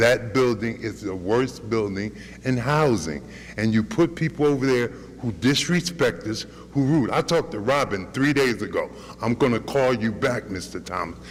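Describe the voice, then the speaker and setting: Vocal fry colors a man's medium-pitched voice. His intonation is lively, and audible room echo surrounds it. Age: 60s. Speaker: tenant speaking at public comment. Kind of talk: public comment at council meeting. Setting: city council meeting. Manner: animated.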